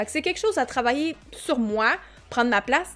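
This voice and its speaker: A woman in a Quebec accent, high-pitched, very fast, with lively intonation. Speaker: streamer. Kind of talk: live stream chat. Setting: live stream.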